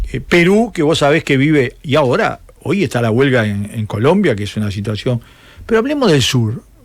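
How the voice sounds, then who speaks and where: A man with a Uruguayan accent speaks at a moderate pace in a fairly high voice, his pitch swinging very widely. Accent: Rioplatense Spanish (Uruguayan). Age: 70s. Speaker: political commentator, former communist activist. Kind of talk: interview. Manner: animated.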